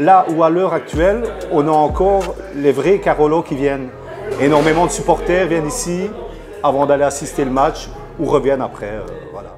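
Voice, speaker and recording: A fairly high male voice with long, frequent pauses, audible room echo and music in the background. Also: ordinary pitch variation, moderate pace. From Belgium, Charleroi (Wallonia). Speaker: café owner. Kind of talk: interview testimony.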